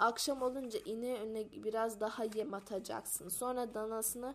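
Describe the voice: Someone reads a text aloud. The delivery is plain.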